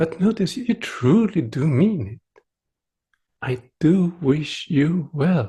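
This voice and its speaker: Pitched fairly high, the man's voice is gentle, dark and mellow. He speaks very slowly, with very wide pitch swings. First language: Swedish. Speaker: meditation teacher. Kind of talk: dharma talk.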